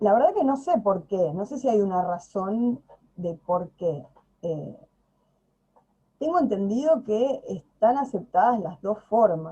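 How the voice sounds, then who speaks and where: A woman with a Buenos Aires accent speaks very slowly in a somewhat breathy, dark, mellow tone at a fairly high pitch. Her pitch swings very widely, and she leaves long, frequent pauses. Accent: Rioplatense Spanish (Buenos Aires). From Buenos Aires province, Argentina. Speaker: video channel host, Spanish speaker. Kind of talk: casual conversation. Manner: hesitant, many fillers.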